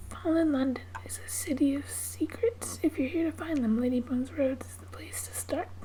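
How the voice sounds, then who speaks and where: Soft-spoken and with hardly any pauses, a woman talks at a moderate pace, her loudness swinging widely, amid noticeable background noise. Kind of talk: ASMR gaming video, casual talk to camera with text reading.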